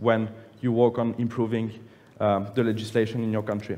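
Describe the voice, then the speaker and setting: With a French accent, a man talks at a fairly quick pace. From France (Nice); France. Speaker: public affairs manager presenting policy; conference presenter. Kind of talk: conference presentation. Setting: conference plenary room with audience. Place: hall.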